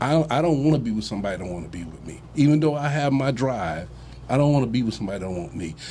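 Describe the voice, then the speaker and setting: A man's medium-pitched voice at a very fast pace, with big swings in loudness, very wide pitch swings, and audible room echo. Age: 60s. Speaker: relationship discussion panelist. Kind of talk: casual chat. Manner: halting, many repeated words.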